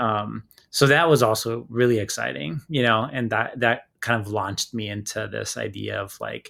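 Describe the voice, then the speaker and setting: A man with a Spanish accent, on a very clean recording with a silent background. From Hawaii (Oahu), early childhood on Easter Island. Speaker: filmmaker. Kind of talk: interview. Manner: casual, many fillers.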